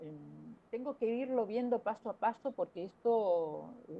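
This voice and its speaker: Very slow, lively speech from a woman with a fairly high pitch. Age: 60s. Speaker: opera singer. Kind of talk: interview. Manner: hesitant, many fillers.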